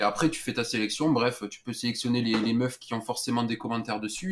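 A man's normal speaking voice at medium pitch, fairly even in intonation and fairly quick in pace. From southern France. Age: 20s. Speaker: caller telling a story. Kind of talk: phone-in storytelling.

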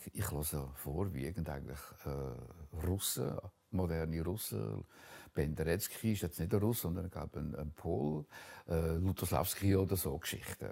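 The speaker talks at a fairly slow pace in a Zug accent, with a dark, mellow tone, vocal fry and ordinary pitch variation. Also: man, very deep, low pitch for a man. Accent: Swiss German (Zug). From Switzerland, canton Zug. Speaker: painter. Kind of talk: interview, life story. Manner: halting, many hesitations.

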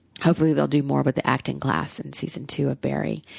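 A woman talks at a fairly quick pace. Her voice has vocal fry. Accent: Southern US. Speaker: podcast host. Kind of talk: casual chat. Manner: rambling, animated.

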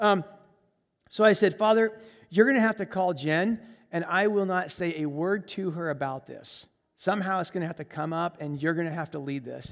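On a very clean recording with a silent background, a man with an American accent speaks in a high pitch at a moderate pace, with ordinary pitch variation and big swings in loudness. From Colombia, as a US missionary kid. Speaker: missionary. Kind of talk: sermon. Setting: church.

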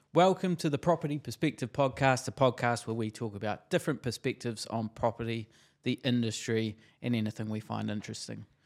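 A man with a New Zealand accent speaks at a fairly quick pace and medium pitch. The sound is dry and close with no echo, in a very clean recording with a silent background. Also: ordinary pitch variation. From New Zealand, Christchurch. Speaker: podcast host, real estate agent. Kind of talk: interview; podcast intro.

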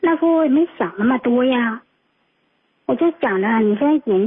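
This woman's voice is high-pitched and her intonation lively. She talks at a moderate speed. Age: 40s. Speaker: radio call-in listener. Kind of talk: personal story on call-in show. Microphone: too quiet.

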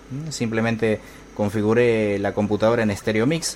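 Moderate speed and a fairly low male voice, amid noticeable background noise. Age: 40s. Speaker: podcast host, tech tutorials for blind users. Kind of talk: casual solo podcast with tutorials and gameplay commentary. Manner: halting, many fillers.

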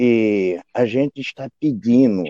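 A man's dark, mellow tone with ordinary pitch variation, a dry, close sound with no echo. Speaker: quilombola spiritual leader, pai de santo. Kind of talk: interview testimony. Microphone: unstable internet connection.

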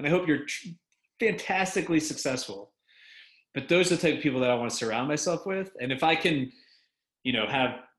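With lively intonation and a fairly high pitch, a man speaks at a very fast pace. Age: 30s. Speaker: real estate investment firm founder. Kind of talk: interview podcast.

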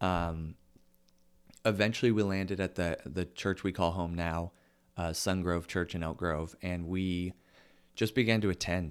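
The intonation stays fairly even at a fairly slow pace, broken by long, frequent pauses. The recording is very clean, with a silent background. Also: man, very deep, low pitch for a man. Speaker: podcast host, youth ministry leader. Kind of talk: casual chat.

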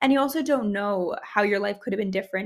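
Using vocal fry, a woman speaks at a medium pitch. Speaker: podcast host and medical student. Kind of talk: casual chat. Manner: animated.

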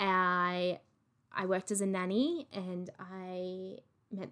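A woman with an Australian accent. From Australia, regional NSW/Victoria border. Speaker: podcast host. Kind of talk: casual monologue. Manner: animated.

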